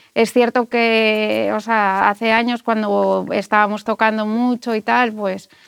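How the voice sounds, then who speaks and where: A woman with a fairly high pitch speaks at a very slow pace in a monotone, flat intonation, with hardly any pauses. The sound is dry and close with no echo, on a very clean recording with a silent background. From Spain, Asturias (Gijón). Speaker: musician. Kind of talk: interview.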